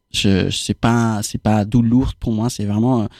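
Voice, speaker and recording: Recorded very cleanly against a silent background, a man of medium pitch talks at a fairly slow pace in a dry, close sound with no echo. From Argentina. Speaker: activist. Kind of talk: casual chat. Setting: studio. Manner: halting.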